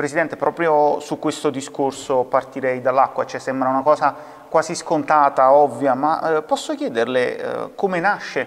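At a moderate pace, a man with a fairly high voice keeps his intonation fairly even. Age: young. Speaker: TV presenter. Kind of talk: TV interview. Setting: video call. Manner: formal. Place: studio.

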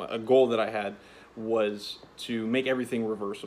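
Over light background noise, a man speaks with monotone, flat intonation. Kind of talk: casual vlog chat. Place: garage. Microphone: phone near.

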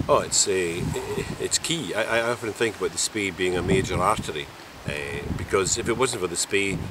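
A man speaks at a moderate pace with ordinary pitch variation, in a dry sound with no echo and noticeable background noise. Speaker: canoe trip guide. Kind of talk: interview answer. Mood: warm, enthusiastic. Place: waterside.

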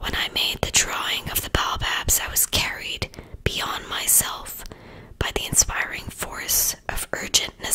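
Someone whispers in a soft-spoken way at a fairly slow pace, with noticeable background noise. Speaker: reader of a children's book. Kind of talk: audiobook read-aloud. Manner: soft ASMR whisper reading aloud.

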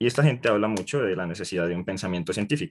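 A man speaks against a quiet background. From Colombia, Bogotá. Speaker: workshop participant. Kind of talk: audience question.

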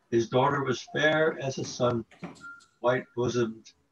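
A man with a fairly high pitch at a very slow pace, faint music in the background. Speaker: reading group participant; reader at a literary meeting. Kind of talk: reading aloud. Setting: video call.

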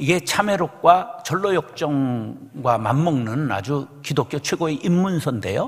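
Speaking at a moderate pace, this man lets his pitch swing very widely. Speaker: senior pastor. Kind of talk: sermon. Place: church. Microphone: podium.

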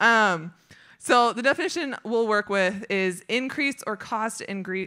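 Against a quiet background, a woman talks at a very slow pace in a bright, sharp tone with big swings in loudness. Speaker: speaker. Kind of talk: sermon. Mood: warm, light laughter. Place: stage. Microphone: handheld.

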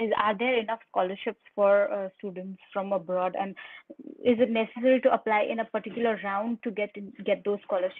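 Ordinary pitch variation in a dry sound with no echo. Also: woman. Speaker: webinar moderator. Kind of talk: webinar presentation. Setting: video call. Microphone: webcam.

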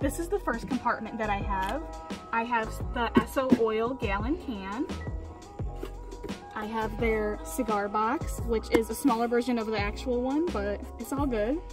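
A woman speaks with long, frequent pauses while music plays clearly in the background. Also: moderate pace. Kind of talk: casual vlog chat. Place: street.

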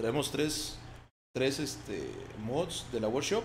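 A man's fairly high, somewhat breathy voice with a Mexican accent, ordinary pitch variation and audible room echo. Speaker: gaming streamer. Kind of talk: casual chat. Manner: animated.

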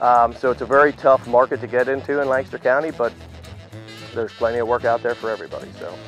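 With faint music in the background and a dry sound with no echo, a man with an American accent talks at a very fast pace with ordinary pitch variation. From Pennsylvania. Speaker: auctioneer. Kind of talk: interview answer. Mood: relaxed, modest, cheerful. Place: farm. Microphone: lapel.

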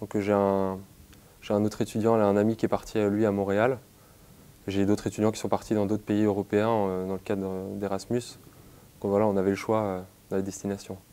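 A man speaks in a dark, mellow tone at a fairly low pitch with monotone, flat intonation. His pace is moderate, with long, frequent pauses. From western France, Nantes; western France. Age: 20s. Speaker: university student. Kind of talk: interview; interview answer. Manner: halting, with frequent hesitations. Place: office. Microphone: lapel.

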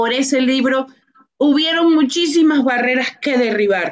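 A woman talks at a fairly slow pace over a quiet background. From Venezuela. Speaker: author and business professional; guest. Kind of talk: radio interview. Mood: earnest, faith-inspired. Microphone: video call.

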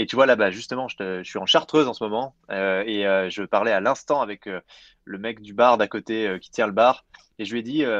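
A man with an ordinary speaking voice, medium in pitch, talking at a fairly quick pace with ordinary pitch variation and big swings in loudness, over a quiet background. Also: dry, close sound with no echo. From France, Jura mountains. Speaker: entrepreneur, climate initiative co-founder. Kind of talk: interview. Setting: remote, mountain chalet.

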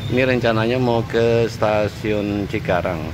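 A man at a very slow pace amid noticeable background noise. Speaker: travel vlogger. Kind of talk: casual vlog narration. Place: station. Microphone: phone near.

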